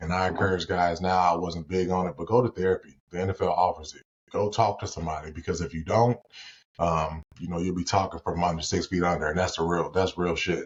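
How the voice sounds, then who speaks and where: A somewhat breathy man with an American accent, very deep, low pitch and a very fast pace. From Gary, Indiana, US Midwest. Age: 30s. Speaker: former pro football player, credit repair specialist. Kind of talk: casual podcast interview. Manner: animated.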